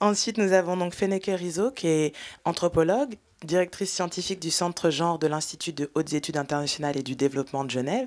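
A woman speaks at a very fast pace in a fairly low voice, with ordinary pitch variation. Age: 30s. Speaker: filmmaker and panel moderator; panel moderator. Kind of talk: panel discussion. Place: hall.

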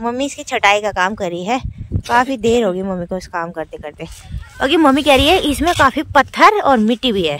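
A woman's fairly high, fairly bright voice with lively intonation at a fairly quick pace

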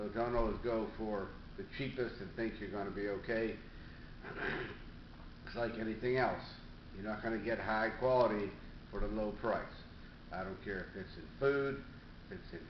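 A man speaks at a moderate pace in a fairly low voice with fairly even intonation, leaving long, frequent pauses. Room echo is audible, and there is light background noise. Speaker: fitness coach. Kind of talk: casual vlog chat. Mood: calm, advising. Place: home room. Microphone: webcam.

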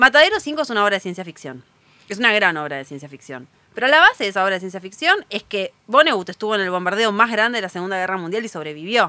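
Speaking very fast in a Rioplatense accent, a woman uses a medium pitch with very wide swings and a bright, sharp tone. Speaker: writer and bookseller. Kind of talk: casual interview chat.

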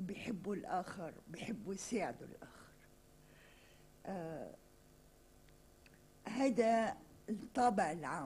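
A woman speaks in a dark, mellow, somewhat breathy tone with ordinary pitch variation. Light background noise sits behind her. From Lebanon. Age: 60s. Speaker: writer and journalist; journalist. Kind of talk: interview. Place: studio. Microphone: podium.

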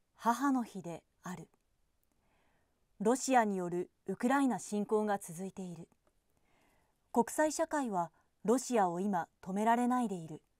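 In a fairly high voice, a woman speaks at a fairly slow pace with lively intonation. The background is quiet and the sound is dry with no echo. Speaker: television announcer. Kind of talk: newspaper column reading. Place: booth. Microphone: studio mic.

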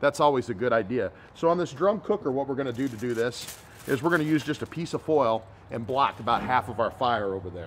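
Very fast speech with lively intonation. Light background noise is audible. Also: man. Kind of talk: tutorial. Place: garden.

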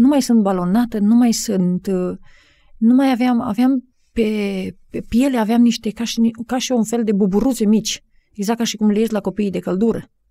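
The tone is dark and mellow, the pace fairly slow, and the intonation fairly even. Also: woman. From Romania, Maramureș. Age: 40s. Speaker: life coach. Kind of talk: interview. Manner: halting.

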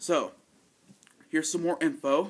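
A man's lively intonation at a fairly slow pace. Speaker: vlogger. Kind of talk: casual vlog chat. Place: home room.

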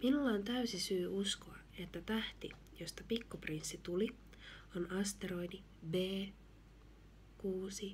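Soft-spoken and gentle in tone, a woman talks very slowly over light background noise. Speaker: ASMR reader. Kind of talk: gentle reading of a children's book. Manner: soft-spoken, gentle.

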